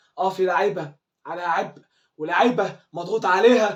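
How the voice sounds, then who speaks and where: A man with an Egyptian accent speaks at a moderate pace in an animated tone with ordinary pitch variation. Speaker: football fan commentator. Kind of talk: fan video commentary. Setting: at home.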